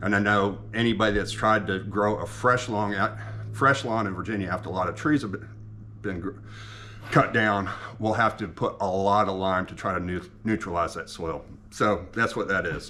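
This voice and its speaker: Vocal fry runs through a man's fairly low voice with a bright, sharp tone. He keeps a moderate pace and fairly even intonation. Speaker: home ethanol experimenter, video blogger. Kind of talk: casual vlog explanation. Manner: halting, many fillers and restarts.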